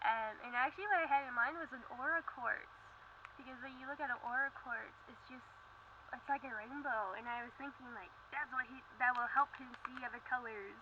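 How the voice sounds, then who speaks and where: Soft-spoken and high-pitched, a woman talks at a fairly quick pace with ordinary pitch variation and big swings in loudness, over noticeable background noise. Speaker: zine maker. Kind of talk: casual talk to camera. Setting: outdoors. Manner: quiet, soft-spoken.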